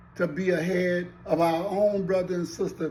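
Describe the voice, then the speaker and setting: A man talks at a fairly slow pace. Room echo can be heard around him. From US South. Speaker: commentator. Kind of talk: social commentary monologue. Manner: impassioned.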